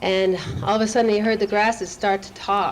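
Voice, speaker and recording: Over noticeable background noise, a woman speaks at a moderate pace with monotone, flat intonation. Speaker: event host introducing a speaker. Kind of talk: spoken introduction to a live audience. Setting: live gathering.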